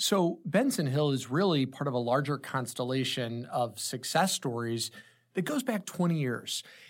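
Recorded very cleanly against a silent background, a man with an American accent and a normal speaking voice talks at a moderate pace. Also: fairly high pitch for a man. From St. Louis metro, Illinois side (Granite City). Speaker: tech company co-founder and CEO. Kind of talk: interview conversation.

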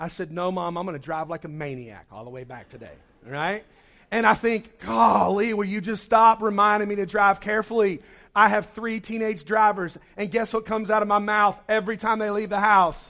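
A man's high, bright, sharp voice is raised and projected, showing ordinary pitch variation and big swings in loudness on a very clean recording with a silent background. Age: 40s. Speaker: pastor. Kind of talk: sermon.

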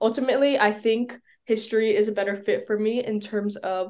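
In an American accent, a woman with an ordinary speaking voice talks at a fairly high pitch, her intonation fairly even. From New York City. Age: young. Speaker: college student and YouTuber. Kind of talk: interview.

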